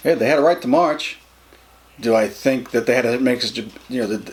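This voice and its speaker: Against noticeable background noise, the voice races at a very fast pace in an American accent with ordinary pitch variation. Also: man. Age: 50s. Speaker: interviewee. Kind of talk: interview. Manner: halting, with many repetitions.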